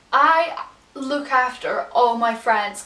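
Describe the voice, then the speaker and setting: With an English accent and fairly even intonation, a woman speaks in a high voice amid audible room echo and noticeable background noise. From England. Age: 20s. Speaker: vlogger. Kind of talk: casual chat.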